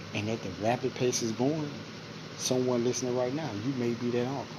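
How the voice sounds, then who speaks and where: Through audible room echo and noticeable background noise comes a man's voice at a medium pitch. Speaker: podcast host. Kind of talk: monologue commentary. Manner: low volume.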